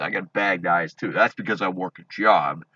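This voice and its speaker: A loud, shouting man, recorded dry and close with no echo, over a quiet background. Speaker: vlogger ranting about online drama. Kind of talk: angry rant to camera. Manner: loud, yelling; halting, many fillers and restarts.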